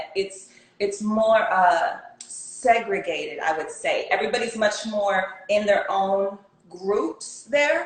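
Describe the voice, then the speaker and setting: Speaking at a very slow pace, a woman at medium pitch uses lively intonation, with audible room echo and noticeable background noise. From California. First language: Spanish. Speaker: actress. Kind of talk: interview.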